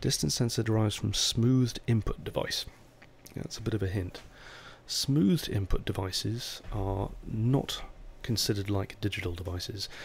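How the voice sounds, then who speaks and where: This man's voice is fairly low and somewhat breathy. He talks at a moderate pace with ordinary pitch variation. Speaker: software developer. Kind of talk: technical tutorial talk.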